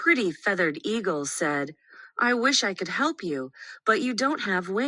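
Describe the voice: This is a clip of plain reading aloud.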